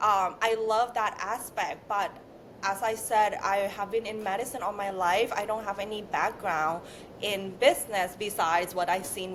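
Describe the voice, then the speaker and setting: A woman with a non-native accent, fairly slow pace and ordinary pitch variation. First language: not English. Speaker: beauty brand founder. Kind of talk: interview.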